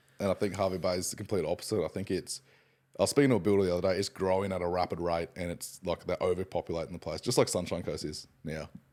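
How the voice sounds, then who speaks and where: A man with an Australian accent talks at a very fast pace with a very deep, low pitch and fairly even intonation, on a very clean recording with a silent background. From Queensland, Australia (Hervey Bay). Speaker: podcast co-host. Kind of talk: casual chat.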